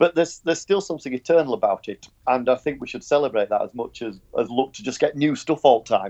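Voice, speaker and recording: A man with a Yorkshire accent, fairly high-pitched and very fast, with lively intonation, big swings in loudness, and a dry, close sound with no echo. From Yorkshire, northern England. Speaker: podcast panelist. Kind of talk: casual chat. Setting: Skype call.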